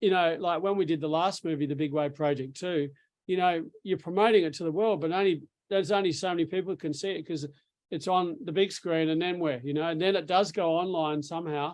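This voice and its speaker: A man's high voice in an Australian accent, with fairly even intonation at a fairly quick pace. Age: 60s. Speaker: surf filmmaker. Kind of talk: casual interview. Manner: halting, repetitive fillers.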